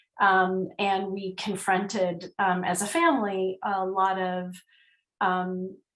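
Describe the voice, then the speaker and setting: In a medium pitch, a woman speaks at a very slow pace with monotone, flat intonation. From Northern Ireland. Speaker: nonprofit chief executive. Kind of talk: interview.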